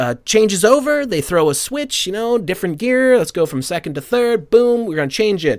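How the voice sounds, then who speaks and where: A man's voice with very wide pitch swings, on a very clean recording with a silent background. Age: 40s. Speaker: podcast co-host. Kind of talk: casual chat.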